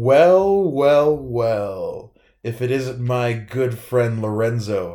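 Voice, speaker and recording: A man uses a put-on character voice at a medium pitch, speaking at a very slow pace. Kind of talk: telenovela villain. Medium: actual play. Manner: smug, theatrical.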